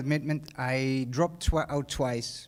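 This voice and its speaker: A fairly high-pitched man's voice, monotone and flat, with a Dutch accent. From Netherlands. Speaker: hotel manager. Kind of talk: graduation speech. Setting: stage with audience. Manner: halting, many fillers and repeats.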